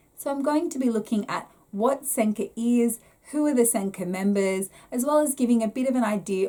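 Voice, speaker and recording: Here a woman speaks at a fairly high pitch. Her intonation is lively. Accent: strong Australian. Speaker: YouTuber explaining Japanese theatre. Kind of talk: explanatory talk to camera.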